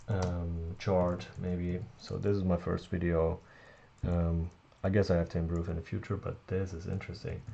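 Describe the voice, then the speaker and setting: In a non-native accent, a man with a very deep, low pitch speaks in a dark, mellow tone with monotone, flat intonation. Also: moderate pace. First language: not English. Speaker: tech reviewer. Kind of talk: tutorial. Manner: halting, many fillers.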